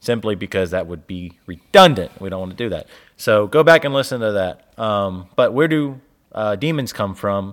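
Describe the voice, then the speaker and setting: This man has an unremarkable speaking voice with a fairly low pitch. He speaks at a moderate pace with lively intonation and big swings in loudness. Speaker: podcast co-host. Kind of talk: casual chat about theology.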